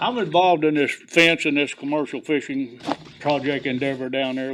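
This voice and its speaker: A man with a Southern US accent and a fairly high pitch speaks at a moderate pace with fairly even intonation over noticeable background noise. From US South, Clewiston, Florida. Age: 70s. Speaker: commercial fisherman, veteran. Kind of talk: public comment at commission meeting.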